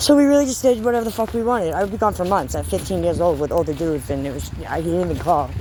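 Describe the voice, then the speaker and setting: A woman with an American accent at a very fast pace and hardly any pauses, amid audible room echo and noticeable background noise. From eastern Massachusetts (South Shore, Hanover). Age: 30s. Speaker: vlogger, former addict. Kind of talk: personal testimony to camera. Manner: casual, halting with fillers.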